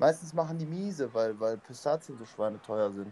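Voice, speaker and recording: Very wide pitch swings run through a dark, mellow tone at a moderate pace. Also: man. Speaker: podcast co-host. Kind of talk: casual chat.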